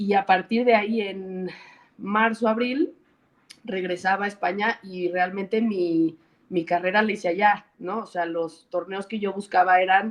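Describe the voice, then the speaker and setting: A woman speaks fairly slowly with a Mexican accent. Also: medium pitch for a woman, fairly even intonation. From Mexico. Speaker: former professional tennis player, tennis coach. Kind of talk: interview.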